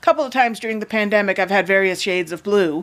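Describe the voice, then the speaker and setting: Her voice sits at a medium pitch for a woman. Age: 60s. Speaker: video blogger. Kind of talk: casual monologue. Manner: halting.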